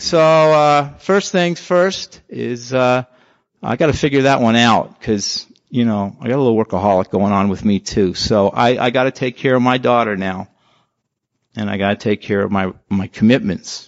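A man speaks at a moderate pace with a medium pitch and lively intonation, in an unremarkable speaking voice. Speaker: twelve-step member. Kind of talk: testimony. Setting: convention meeting room.

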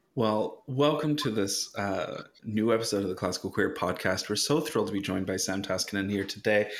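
A man with a plain, everyday voice talks at a fairly quick pace, fairly low in pitch with ordinary pitch variation and hardly any pauses. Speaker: podcast host. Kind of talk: casual chat.

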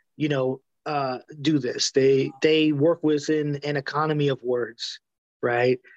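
A man with an American accent speaks in an unremarkable speaking voice at a fairly high pitch and a fairly slow pace. The sound is dry and close with no echo, over a quiet background. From New York City. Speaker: music journalist and author. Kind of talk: interview conversation. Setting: video call. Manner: filler-heavy, seeks agreement.

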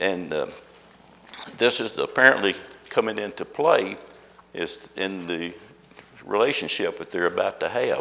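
Noticeable background noise sits under a man talking at a fairly slow pace. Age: old. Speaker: Sunday school teacher. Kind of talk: Bible study lesson. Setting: classroom with audience.

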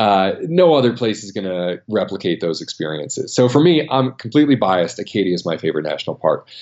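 In a normal speaking voice, a man with an American accent talks at a fairly quick pace. His medium pitch carries lively intonation. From US, Maine. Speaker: travel writer and photographer. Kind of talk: interview.

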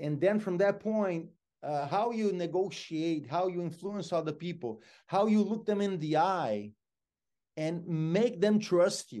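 A man speaks with a Brazilian accent at a high pitch for a man. His tone is dark and mellow, and the background is quiet. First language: Portuguese. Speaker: motivational speaker. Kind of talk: interview.

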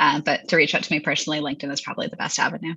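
A woman talks with a Canadian accent. Music plays in the background. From Hamilton, Ontario, Canada. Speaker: food company founder and CEO. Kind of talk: interview, casual business chat.

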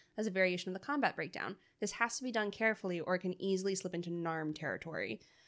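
Very fast speech from a woman at medium pitch, with ordinary pitch variation. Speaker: podcast co-host. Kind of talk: casual chat.

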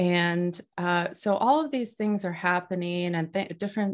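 A woman speaks in a plain, everyday voice, fairly low in pitch. Her pace is moderate, and her pitch variation is ordinary. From US Midwest, North Dakota. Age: 40s. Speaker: author and Reiki practitioner. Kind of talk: interview.

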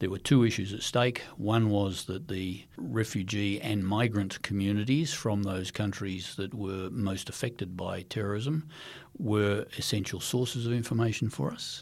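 A man with an Australian accent, fairly low in pitch, at a moderate pace with hardly any pauses and ordinary pitch variation, on a very clean recording with a silent background. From Western Australia, Perth. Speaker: former intelligence chief. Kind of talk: interview. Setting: studio.

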